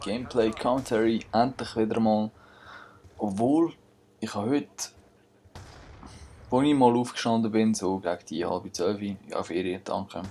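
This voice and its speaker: A man with a Swiss accent speaks at medium pitch in a dark, mellow tone. His pace is fairly slow, with long, frequent pauses and ordinary pitch variation. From Switzerland. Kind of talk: gameplay commentary. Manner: casual.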